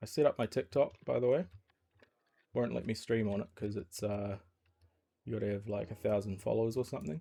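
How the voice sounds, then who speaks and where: Using a New Zealand accent, a man speaks at a fairly quick pace with long, frequent pauses, his fairly low voice dark and mellow with ordinary pitch variation. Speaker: game developer streamer. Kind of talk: casual live stream chat. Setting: live stream. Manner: casual, rambling with fillers.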